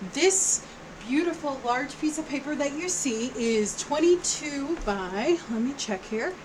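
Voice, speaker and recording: Loud and high-pitched, a woman speaks at a fairly slow pace with lively intonation over noticeable background noise. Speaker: craft tutorial YouTuber. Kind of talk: tutorial. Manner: casual, chatty.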